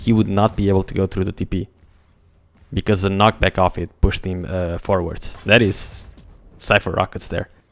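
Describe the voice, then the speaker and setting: In a very clean recording with a silent background, a man with a Portuguese accent speaks at a moderate pace. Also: dry, close sound with no echo. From Portugal. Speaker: esports commentator. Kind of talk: live commentary. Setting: live stream. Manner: animated.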